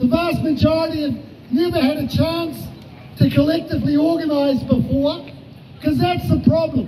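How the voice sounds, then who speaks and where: Over noticeable background noise, a man with an extremely high pitch talks at a moderate pace with ordinary pitch variation. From New Zealand. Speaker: trade union official. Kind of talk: rally speech, defiant protest address. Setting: outdoor rally with crowd. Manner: fiery and combative, punching repeated phrases for emphasis; mocking taunts aimed at opponents. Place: street. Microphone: handheld.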